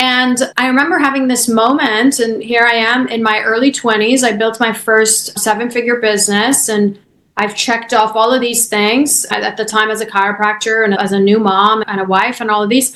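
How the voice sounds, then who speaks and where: A woman with a Persian accent speaks with fairly even intonation and hardly any pauses. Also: fairly high pitch for a woman, moderate pace. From Iran. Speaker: chiropractor and business coach. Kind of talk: podcast interview.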